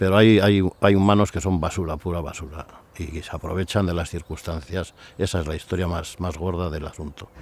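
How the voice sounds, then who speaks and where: A man's very deep, low voice at a fairly quick pace, with big swings in loudness. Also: fairly even intonation. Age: 70s. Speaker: local resident interviewee. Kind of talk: documentary interview.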